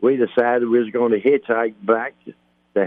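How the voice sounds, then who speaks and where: A man with a Kentucky accent, medium-pitched, at a moderate pace, in a monotone with flat intonation. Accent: Kentucky southern. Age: 80s+. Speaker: retired baseball player. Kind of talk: interview storytelling. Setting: phone call. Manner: halting.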